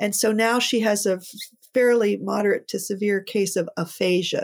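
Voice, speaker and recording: A woman of medium pitch speaks with vocal fry and fairly even intonation in a very clean recording with a silent background. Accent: American. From Pittsburgh, Pennsylvania, US. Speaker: co-founder of a women's preaching ministry. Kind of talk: casual interview.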